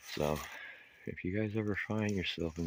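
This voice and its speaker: Speaking quietly, a man uses ordinary pitch variation. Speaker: homeless vlogger. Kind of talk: casual vlog walkthrough. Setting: outdoors in woods. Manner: quiet, low voice.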